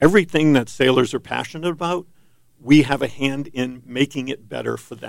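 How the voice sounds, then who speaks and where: A man talks at a fairly quick pace with a fairly high pitch and ordinary pitch variation. His loudness swings widely. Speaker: sailing association president. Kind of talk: studio interview. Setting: studio. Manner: halting, many ums and uhs. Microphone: too far from the mic.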